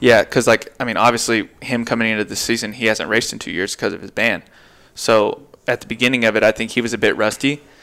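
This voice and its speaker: Delivered at a very fast pace, the voice has a bright, sharp tone and a monotone, flat intonation. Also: man, medium pitch for a man. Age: 20s. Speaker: supercross racer. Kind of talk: casual chat.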